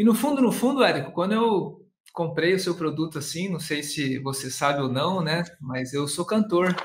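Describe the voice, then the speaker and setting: A man is speaking here. The pitch sits high and the intonation is lively. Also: moderate pace. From interior of São Paulo state, Brazil. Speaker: online course entrepreneur, singer and actor. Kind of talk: casual interview chat. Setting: video call. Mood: relaxed, thoughtful. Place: home room. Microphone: webcam.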